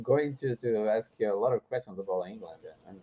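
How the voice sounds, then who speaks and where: Talking at a fairly quick pace, a man speaks with a Portuguese accent. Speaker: English learner. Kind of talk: casual chat. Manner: halting, many repetitions.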